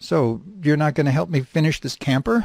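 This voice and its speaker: A man performs a put-on character voice at a fairly high pitch and fairly quick pace. The recording is very clean, with a silent background. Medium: read story. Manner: blunt, matter-of-fact.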